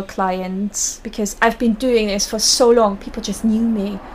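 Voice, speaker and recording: The intonation stays monotone and flat. The speaker has a German accent. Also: woman. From Germany, small town. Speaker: burlesque performer and costume maker. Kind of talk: interview.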